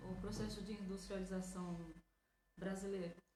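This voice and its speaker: Amid noticeable background noise, a woman talks at a fairly slow pace and medium pitch. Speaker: radio host. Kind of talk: radio interview host.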